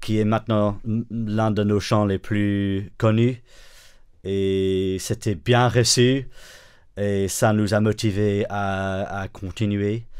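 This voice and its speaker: A man with an English accent and a fairly low pitch, very slow and monotone, flat in intonation, with long, frequent pauses on a very clean recording with a silent background. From northern England. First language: English (speaking French). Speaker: pastor and worship songwriter. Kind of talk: interview. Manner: halting, many hesitations.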